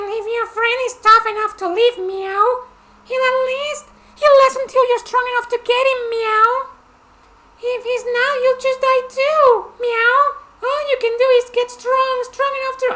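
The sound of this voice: At a moderate pace, a man talks in a put-on character voice. His pitch is extremely high.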